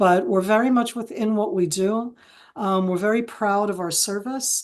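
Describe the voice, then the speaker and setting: Here is an unremarkable speaking voice from a woman with an American accent. She keeps a medium pitch, ordinary pitch variation and a moderate pace. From Israel, American parents from San Francisco Bay Area. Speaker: retired military intelligence officer and analyst. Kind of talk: webinar interview.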